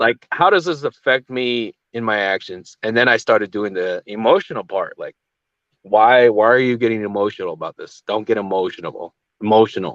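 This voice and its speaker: A man talks in an ordinary speaking voice at medium pitch. His pace is moderate and his pitch variation ordinary. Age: young. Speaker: channel host, agency commander. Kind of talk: casual chat. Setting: livestream.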